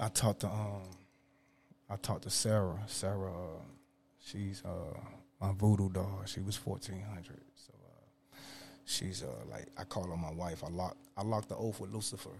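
The voice is somewhat breathy, with fairly even intonation. Long pauses come often. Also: man, very deep, low pitch for a man, moderate pace. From North Carolina, Winston-Salem. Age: 30s. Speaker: rapper. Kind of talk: interview.

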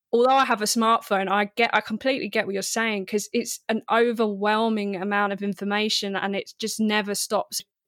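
Her fairly high voice comes at a fairly quick pace with hardly any pauses and monotone, flat intonation. The woman's very clean recording has a silent background and a dry, close sound with no echo. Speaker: podcast host. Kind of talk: casual chat. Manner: loud.

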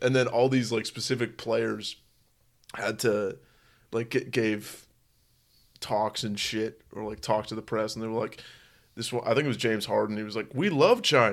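Speaking at a moderate pace with long, frequent pauses, a man with an American accent uses a medium pitch and fairly even intonation on a very clean recording with a silent background. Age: 20s. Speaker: podcast co-host. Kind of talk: casual chat.

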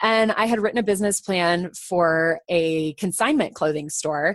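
A woman with an American accent and an ordinary speaking voice talks at a moderate pace and medium pitch, with ordinary pitch variation, against a quiet background. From Colorado. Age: 30s. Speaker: business executive. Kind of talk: interview.

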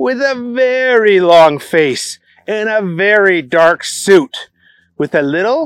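With lively intonation and a quiet background, the reading aloud comes in a natural voice.

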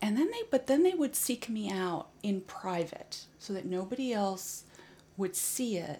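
Somewhat breathy and at a fairly slow pace, a woman speaks in a fairly high pitch with a dark, mellow tone. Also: lively intonation. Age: 50s. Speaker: healing arts practitioner. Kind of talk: interview. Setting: kitchen table home recording.

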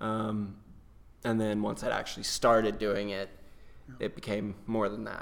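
With an American accent, a man talks at a fairly slow pace in a monotone, flat intonation, leaving long, frequent pauses amid audible room echo. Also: fairly low pitch for a man. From North Carolina, near Chapel Hill. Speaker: stage actor. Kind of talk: casual interview.

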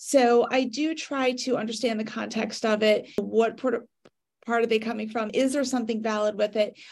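Her intonation monotone and flat, a woman talks at a moderate pace in a fairly high pitch. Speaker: social media business owner. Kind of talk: casual discussion.

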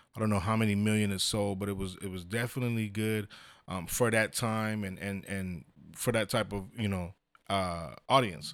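Heard on a very clean recording with a silent background, a man with an American accent and a normal speaking voice talks at a moderate pace, his fairly low pitch held in fairly even intonation. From San Diego, California. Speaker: church minister. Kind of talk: casual chat.

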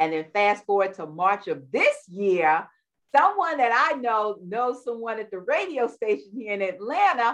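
With an American accent, a woman talks at a fairly high pitch with very wide pitch swings. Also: moderate pace. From New York, Queens. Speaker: war veteran and wellness coach. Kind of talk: interview.

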